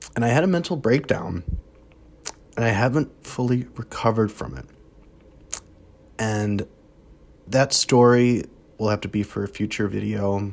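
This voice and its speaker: The voice keeps a moderate pace with ordinary pitch variation and long, frequent pauses. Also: man, medium pitch for a man. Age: 20s. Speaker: vlogger sharing personal struggles. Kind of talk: personal confessional vlog. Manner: halting.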